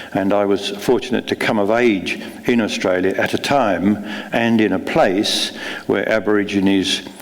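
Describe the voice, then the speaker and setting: Noticeable background noise and audible room echo accompany a man speaking at a fairly low pitch. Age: 70s. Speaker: novelist. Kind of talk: onstage conversation; reading aloud. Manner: halting, many fillers.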